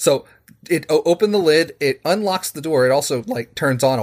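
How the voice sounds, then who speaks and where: A man talks at a fairly quick pace in a normal speaking voice, with ordinary pitch variation. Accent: American. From West Virginia, Charleston. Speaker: programming teacher and home automation hobbyist. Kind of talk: casual chat.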